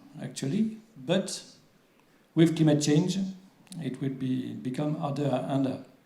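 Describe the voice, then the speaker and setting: In a room with audible echo, a man with a French accent speaks at a fairly high pitch with lively intonation. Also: long, frequent pauses. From France. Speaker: water agency official. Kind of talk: conference presentation. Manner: halting, many fillers.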